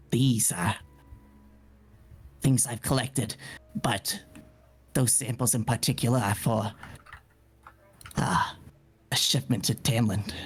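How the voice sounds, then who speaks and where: Using a raspy put-on character voice at medium pitch, a man speaks with long, frequent pauses. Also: fairly slow pace. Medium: actual play. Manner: stammering, hesitant.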